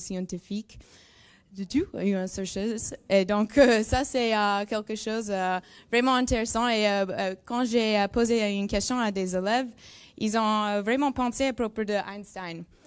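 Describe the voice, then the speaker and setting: A woman with a strong non-native accent speaks fairly slowly in a fairly high voice with fairly even intonation, on a very clean recording with a silent background. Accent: strong English-speaking accent in French. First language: English (speaking French). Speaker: neuroscience researcher. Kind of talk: presentation to school pupils. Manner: halting, searching for words.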